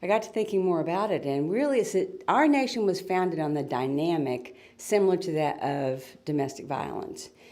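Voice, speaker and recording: Her voice fairly low in pitch with a dark, mellow tone, a woman speaks at a moderate pace with lively intonation amid audible room echo. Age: 60s. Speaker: author and retired school teacher. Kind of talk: interview.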